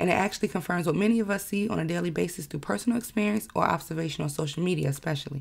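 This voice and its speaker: A woman's very fast speech, fairly low in pitch, with vocal fry and ordinary pitch variation. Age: 20s. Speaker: podcast host. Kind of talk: monologue podcast. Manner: casual, conversational.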